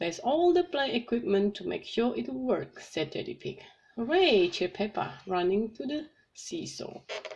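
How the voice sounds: Simply a natural reading voice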